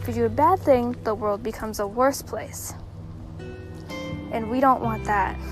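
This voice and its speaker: Over music in the background, a woman speaks in a soothing, calm tone at a moderate pace, with long, frequent pauses. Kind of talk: motivational pep talk.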